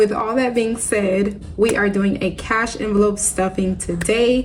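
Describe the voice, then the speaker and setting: Noticeable background noise sits behind a woman speaking at a medium pitch and a moderate pace, with fairly even intonation. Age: 30s. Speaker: budgeting vlogger. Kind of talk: casual vlog talk to camera.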